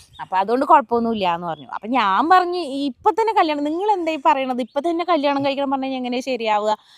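A woman's high-pitched voice with very wide pitch swings and a dry, close sound with no echo. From Palakkad, Kerala. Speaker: vlogger. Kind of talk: casual chat.

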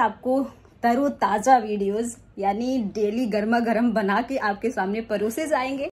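A woman is speaking. Her voice is high-pitched. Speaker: vlogger. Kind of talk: casual vlog chat. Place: home room. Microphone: phone near.

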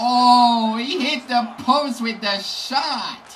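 A man's hoarse, strained voice comes through over light background noise. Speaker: gaming YouTuber. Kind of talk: gameplay commentary, live play-by-play. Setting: home recording over gameplay. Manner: excitable, reactive, exclaiming as plays unfold; hoarse, strained delivery, disappointed at goals against. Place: home room.

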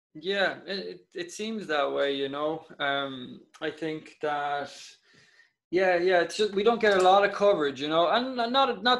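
A high-pitched man with an Irish Midlands accent, lively intonation and a fairly slow pace. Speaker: Gaelic football player. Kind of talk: casual chat.

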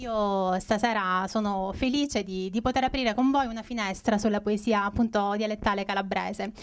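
A woman with an unremarkable speaking voice talks at a moderate pace and medium pitch, with fairly even intonation and hardly any pauses. The recording is very clean, with a silent background. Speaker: event presenter. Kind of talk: event introduction. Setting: stage with audience.

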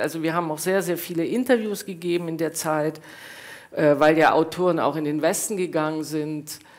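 A woman's unremarkable speaking voice, fairly low in pitch, at a moderate pace with ordinary pitch variation. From East Germany. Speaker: author and professor; professor. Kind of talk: reading aloud; panel discussion and reading. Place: hall.

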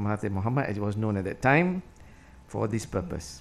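A man's voice at a very fast pace. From Malaysia, Penang; Malaysia. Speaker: liver specialist doctor; guest. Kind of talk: formal speech. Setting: stage with audience. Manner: formal. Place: hall. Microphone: podium.

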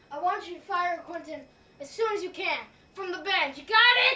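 A woman's put-on character voice, extremely high-pitched, at a moderate pace with ordinary pitch variation and big swings in loudness. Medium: comedy sketch. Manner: threatening, bossy.

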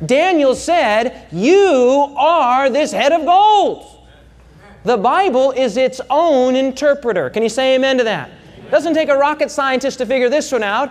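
A man speaks at a high pitch. He keeps a fairly slow pace. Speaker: preacher. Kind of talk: sermon. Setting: stage with audience. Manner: animated; emphatic. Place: hall. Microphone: lapel.

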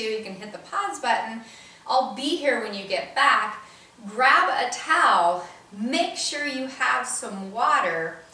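Audible room echo carries a woman's high voice as she speaks at a fairly slow pace with very wide pitch swings. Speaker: fitness instructor. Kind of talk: workout intro instructions. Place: home room. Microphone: camera far.

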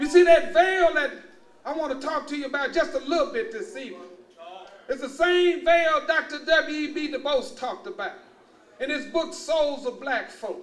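A man's extremely high-pitched voice in a Texas accent, moderate pace, ordinary pitch variation, and big swings in loudness. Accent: Southern US, Texas. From Luling, Texas. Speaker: university administrator and former naval officer. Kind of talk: public lecture to an audience. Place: hall. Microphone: podium.

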